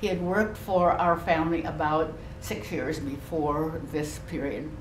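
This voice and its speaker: A woman with an American accent talks fairly slowly in a fairly low voice. The recording has audible room echo and light background noise. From US Pacific Northwest, Vashon Island; US Pacific Northwest. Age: 90s. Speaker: war internment survivor; guest. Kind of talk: talk to a school class. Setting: classroom. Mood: earnest, reflective. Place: classroom. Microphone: camera far.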